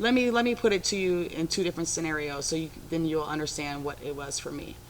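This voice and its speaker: A woman talks with an American accent, her pitch very deep and low. She goes at a fairly quick pace with ordinary pitch variation. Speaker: former prisoner. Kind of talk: interview. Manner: assertive.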